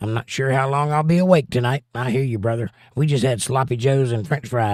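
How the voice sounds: The voice here is a natural reading voice.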